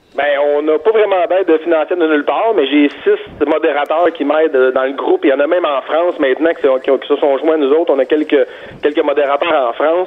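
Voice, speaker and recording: Through noticeable background noise, a man speaks at a fairly high pitch and fairly quick pace, with very even loudness and fairly even intonation. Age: 30s. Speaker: construction worker and dads' group founder. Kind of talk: interview.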